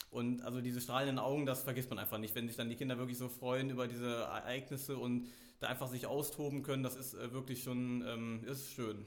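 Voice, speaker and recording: A man talks in a flat, monotone way. There is audible echo from the room. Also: medium pitch for a man, fairly quick pace. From Germany, Meckenheim near Bonn. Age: 20s. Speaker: youth volunteer leader in a relief organisation. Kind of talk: interview.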